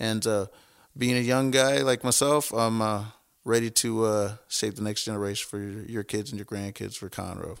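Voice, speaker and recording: An American-accented man with a normal speaking voice and medium pitch talks at a moderate pace with fairly even intonation, in a very clean recording with a silent background. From Texas, Houston area. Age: 30s. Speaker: city council candidate and gym owner. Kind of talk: interview.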